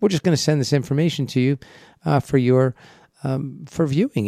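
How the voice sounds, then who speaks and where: The recording is dry and close, with no echo. A man with an American accent speaks at a moderate pace in a dark, mellow tone. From US East Coast. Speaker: financial advisor radio host. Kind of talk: radio talk show. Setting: radio studio. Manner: casual, friendly, uses fillers.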